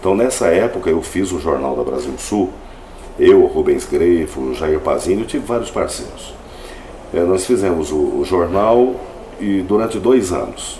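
Fairly slow speech amid noticeable background noise and audible room echo. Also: man. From Paraná, Brazil (Jaguapitã, near Londrina). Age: 40s. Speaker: radio announcer and advertising professional. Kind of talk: interview testimony. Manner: halting.

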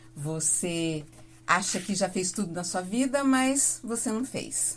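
A woman's lively intonation comes through with music in the background. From Paraná, Brazil (Mamborê, near Campo Mourão). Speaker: radio announcer and singer. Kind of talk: casual interview. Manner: talkative.

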